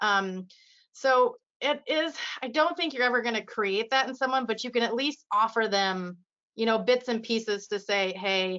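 A woman's fairly high voice proceeds at a moderate pace. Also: ordinary pitch variation. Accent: Midwestern US. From Iowa, US Midwest. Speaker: radiography educator. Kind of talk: casual interview.

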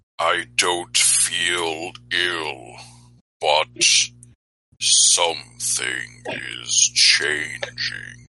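A man's put-on character voice, booming, raspy and very deep and low, at a very slow pace with long, frequent pauses. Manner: deep booming.

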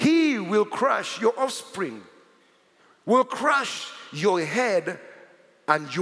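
Over noticeable background noise, a man speaks fairly slowly with very wide pitch swings. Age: 40s. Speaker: pastor. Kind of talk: sermon. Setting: church. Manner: animated.

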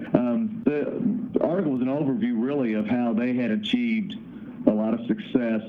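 Audible room echo surrounds a man with a slight Kentucky accent whose medium pitch moves in very wide swings. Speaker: founder of a trucking owner-operator association. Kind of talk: interview.

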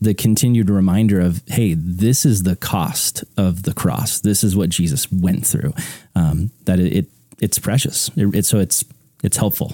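Dry and close with no echo, the recording has a man speaking fairly slowly in a very deep, low pitch with a dark, mellow tone, very even loudness and ordinary pitch variation. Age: 30s. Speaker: podcast host interviewing preachers. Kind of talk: casual interview chat.

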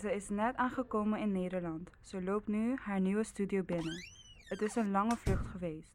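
Here is a woman with a normal speaking voice at medium pitch. She keeps a moderate pace and fairly even intonation. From Curaçao. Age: 20s. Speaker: student podcast maker. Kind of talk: scripted narration.

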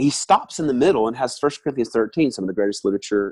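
With a Southern US accent, a man talks at a very fast pace in a dry, close sound with no echo. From US South, Alabama. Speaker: worship leader and musician. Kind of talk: casual interview. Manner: talkative.

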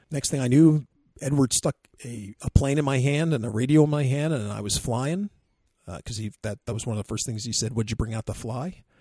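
A man's somewhat breathy voice at medium pitch, fairly quick in pace, with big swings in loudness, ordinary pitch variation, and a dry, close sound with no echo. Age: 50s. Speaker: podcast co-host, RC hobbyist. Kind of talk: casual chat; field interview. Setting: outdoors at an airfield.

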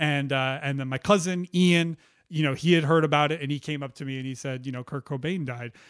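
A man speaks in a plain, everyday voice, fairly high in pitch and at a fairly quick pace. His intonation is fairly even, and the recording is very clean with a silent background. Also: dry, close sound with no echo. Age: 30s. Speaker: music podcast co-host. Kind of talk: scripted narration; casual chat.

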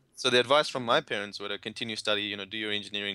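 Bright and sharp in tone, a man speaks with fairly even intonation in a very clean, dry, close recording with no echo and a silent background. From India. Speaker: affiliate marketer. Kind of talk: interview.

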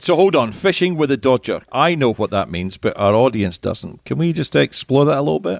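Talking at a fairly quick pace with hardly any pauses, a man with a Scottish accent uses medium pitch and very wide pitch swings, in a dry, close sound with no echo on a very clean recording with a silent background. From Scotland. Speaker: podcast host, industry consultant. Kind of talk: casual interview.

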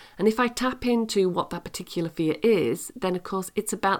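At a fairly quick pace, a woman speaks in a plain, everyday voice of medium pitch with ordinary pitch variation, on a very clean recording with a silent background. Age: 50s. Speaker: leadership podcast host and coach. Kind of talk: solo podcast monologue.

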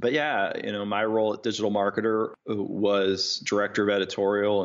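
With an American accent and a plain, everyday voice, a man speaks at a moderate pace and a fairly low pitch. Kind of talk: casual interview chat.

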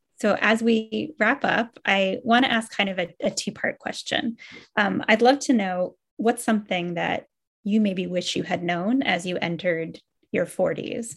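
A woman's somewhat breathy, fairly high-pitched voice at a fairly slow pace with ordinary pitch variation. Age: 40s. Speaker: author and moderator. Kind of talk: panel discussion.

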